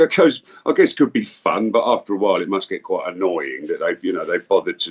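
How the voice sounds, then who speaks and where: At a very fast pace, a man talks with an English accent. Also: dry, close sound with no echo. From England. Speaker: voice actor. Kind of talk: casual interview.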